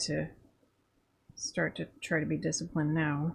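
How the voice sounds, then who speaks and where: A woman speaks at a very deep, low pitch. Vocal fry runs through her voice. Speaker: artist streamer. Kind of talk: casual chat. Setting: live stream.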